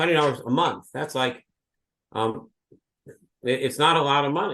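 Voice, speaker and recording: A moderate pace with big swings in loudness, ordinary pitch variation, and an unremarkable speaking voice. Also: man, fairly high pitch for a man. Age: 60s. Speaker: law professor. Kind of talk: lecture; interview answer. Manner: conversational with filler words.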